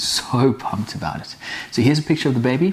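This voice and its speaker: In a very clean recording with a silent background, a man talks in a fairly high, somewhat breathy voice. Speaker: vlogger. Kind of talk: vlog.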